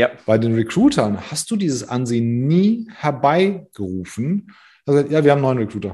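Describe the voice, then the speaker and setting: A man speaks with a fairly high pitch and a dark, mellow tone. His pitch swings very widely. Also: moderate pace. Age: 40s. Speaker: recruiting consultant. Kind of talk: casual interview.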